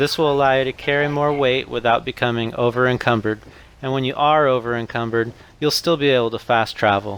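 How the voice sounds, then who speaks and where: A robotic male voice at a moderate pace, with noticeable background noise. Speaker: gaming youtuber. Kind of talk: tutorial read from notes. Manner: flat, robotic reading.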